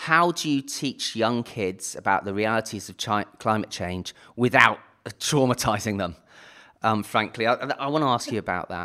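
Heard in a very clean recording with a silent background, a man with a British accent speaks at medium pitch with a bright, sharp tone. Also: ordinary pitch variation, moderate pace. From United Kingdom. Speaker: podcast host. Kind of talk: interview.

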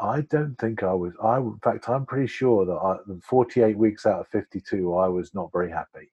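A man speaks at a moderate pace in a normal speaking voice, medium in pitch with ordinary pitch variation. He hardly pauses at all. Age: 50s. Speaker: filmmaker and coach. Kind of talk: casual chat.

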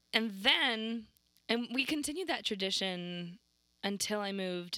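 A woman with an American accent speaks at a moderate pace in a bright, sharp tone, her pitch medium and her intonation lively. The recording is very clean, with a silent background. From Arizona. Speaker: cafe employee. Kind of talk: casual chat. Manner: animated.

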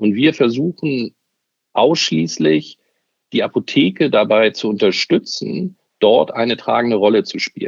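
A man at a medium pitch talks fairly slowly, with vocal fry and very wide pitch swings. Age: 50s. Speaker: media executive. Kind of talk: interview.

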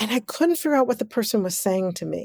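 On a very clean recording with a silent background, a woman with an American accent talks fairly quickly in a plain, everyday voice, her pitch fairly high. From Kansas City, Missouri, US. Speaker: choreographer. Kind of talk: interview.

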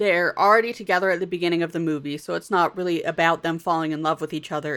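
With an American accent, a woman talks in an ordinary speaking voice, fairly low in pitch and fairly even in intonation, on a very clean recording with a silent background. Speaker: podcast host. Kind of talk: casual chat.

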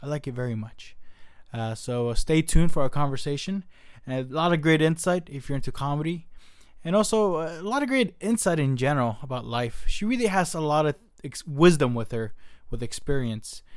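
A man with an American accent talks at a fairly quick pace in a fairly high voice, his intonation lively, on a very clean recording with a silent background. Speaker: podcast host. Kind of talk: casual chat. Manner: excitable.

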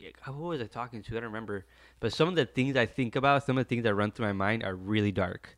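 A man talks in an unremarkable speaking voice with ordinary pitch variation. The recording is very clean, with a silent background. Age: 20s. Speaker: podcast guest, friend of host. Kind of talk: casual chat.

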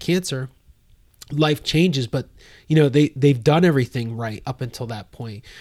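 A man talks in a normal speaking voice at a moderate pace with ordinary pitch variation. The recording is very clean, with a silent background. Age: 40s. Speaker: podcast host and nonprofit founder. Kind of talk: interview. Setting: studio.

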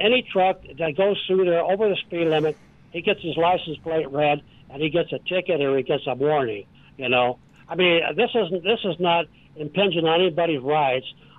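With an American accent, a man talks at a fairly quick pace in a high pitch with ordinary pitch variation. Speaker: caller. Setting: phone call.

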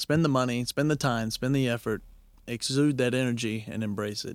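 A man with an American accent speaks in an ordinary speaking voice at a medium pitch, with fairly even intonation, a dry, close sound with no echo, and a very clean recording over a silent background. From Knoxville, Tennessee, then Oklahoma. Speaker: traveler and adventurer. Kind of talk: casual interview chat.

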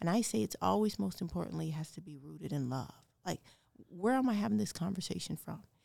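The speech races at a very fast pace with vocal fry, very wide pitch swings and big swings in loudness. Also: woman, fairly low pitch for a woman. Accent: American. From Denver, Colorado. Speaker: city diversity director. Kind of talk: interview conversation.

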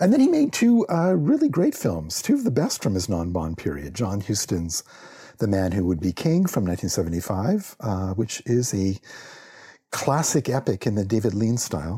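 A man with a fairly low voice and a dark, mellow, somewhat breathy tone speaks at a moderate pace with very wide pitch swings, on a very clean recording with a silent background. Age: 50s. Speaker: librarian. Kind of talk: prepared talk.

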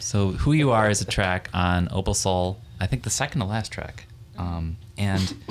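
A man with a normal speaking voice, pitched fairly low, moving at a moderate pace. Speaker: podcast host. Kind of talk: casual interview chat. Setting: living room recording space.

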